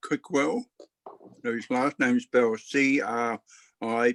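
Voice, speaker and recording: A man with an Australian accent talks at a fairly slow pace and medium pitch. His fairly even intonation sounds dry and close with no echo. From Australia, Brisbane. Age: 50s. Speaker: book club member. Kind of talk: casual chat. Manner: halting.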